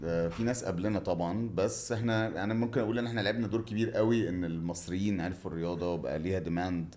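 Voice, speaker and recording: Fairly quick, fairly low male speech with hardly any pauses and ordinary pitch variation, in audible room echo. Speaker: water sports entrepreneur. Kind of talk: interview.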